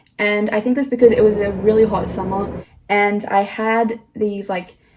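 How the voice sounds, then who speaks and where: With an Australian accent, a woman is speaking. Her pitch is fairly high. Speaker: vlogger. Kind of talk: casual vlog.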